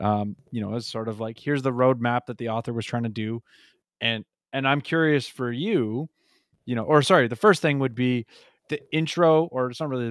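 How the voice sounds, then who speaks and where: On a very clean recording with a silent background and a dry, close sound with no echo, a man with a normal speaking voice talks at a moderate pace and medium pitch with ordinary pitch variation. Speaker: podcast co-host. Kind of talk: casual discussion of a book.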